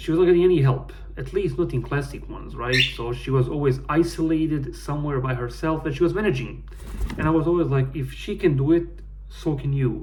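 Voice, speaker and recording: Recorded with audible room echo and noticeable background noise, a man speaks at a fairly quick pace. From Bosnia. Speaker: gaming YouTuber. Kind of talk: casual personal vlog. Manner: halting.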